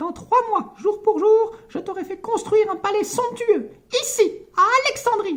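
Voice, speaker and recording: Using a put-on character voice, a man speaks at a moderate pace. The pitch is extremely high. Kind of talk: comic book read-aloud with character voices.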